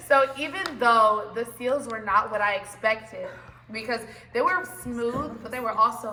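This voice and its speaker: An animated woman's voice, fairly high in pitch with ordinary pitch variation, at a moderate pace over noticeable background noise. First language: not English. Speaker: university choir member. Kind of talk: casual chat.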